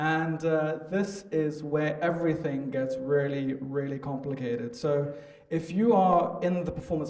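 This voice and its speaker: With a slight South African accent, a man talks at a moderate pace in a fairly high voice with ordinary pitch variation, amid audible room echo and noticeable background noise. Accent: slight South African twang. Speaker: marketing agency founder. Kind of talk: conference talk.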